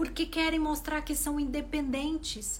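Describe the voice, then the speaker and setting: There is noticeable background noise along with audible room echo. A woman is speaking. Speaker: relationship coach. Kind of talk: live stream talk to followers. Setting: live video stream.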